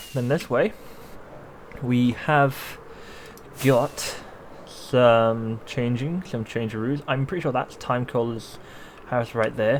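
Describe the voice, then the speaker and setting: Very slow delivery with fairly even intonation, long and frequent pauses, and noticeable background noise. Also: man, medium pitch for a man. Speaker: gaming YouTuber. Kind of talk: gameplay commentary.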